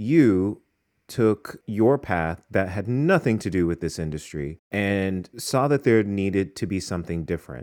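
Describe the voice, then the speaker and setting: An unremarkable speaking voice from a man, fairly low and fairly slow with lively intonation, in a very clean recording with a silent background. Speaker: podcast host, fashion professor. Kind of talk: interview.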